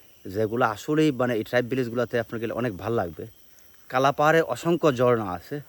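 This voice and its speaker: With a normal speaking voice, a man talks at a medium pitch with ordinary pitch variation. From Habiganj, Sylhet region, Bangladesh. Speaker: travel vlogger. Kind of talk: casual travel vlog talk to camera. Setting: outdoors in hills.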